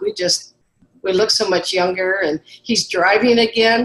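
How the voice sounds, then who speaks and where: A woman with an unremarkable speaking voice, medium in pitch and ordinary in its pitch variation, keeps to a moderate speed. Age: 60s. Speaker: guest giving health testimony. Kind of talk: testimony.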